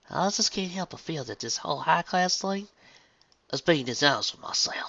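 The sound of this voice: In a put-on character voice with a Southern US accent, the speaker uses vocal fry, a bright, sharp tone and lively intonation at a moderate pace. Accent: put-on Southern US drawl.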